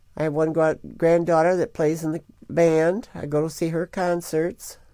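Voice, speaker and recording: A woman with a Midwestern US accent speaks at a moderate pace, her pitch very deep and low. Her tone is dark and mellow, in a very clean recording with a silent background. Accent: US Midwest. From Michigan. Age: 70s. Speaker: grandmother telling life story. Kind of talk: oral history interview.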